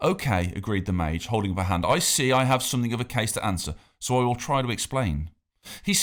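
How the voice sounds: Delivered in a natural reading voice, the clip has a quiet background.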